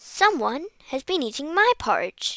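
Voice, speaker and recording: Putting on a character voice, a woman speaks at a moderate pace in a raspy, extremely high pitch with very wide swings. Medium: read story.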